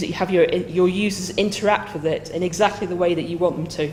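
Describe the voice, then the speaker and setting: Someone speaks with a northern British accent and fairly even intonation, with noticeable background noise and audible room echo. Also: woman. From northern England. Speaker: software consultant and project manager. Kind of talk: conference lightning talk. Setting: stage with live audience.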